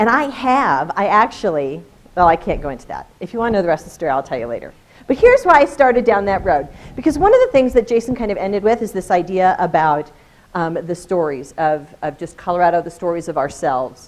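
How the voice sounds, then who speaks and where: A woman talks very fast at a medium pitch, with very wide pitch swings. Her loudness swings widely too. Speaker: education specialist and presenter. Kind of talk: conference presentation. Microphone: holds microphone far away.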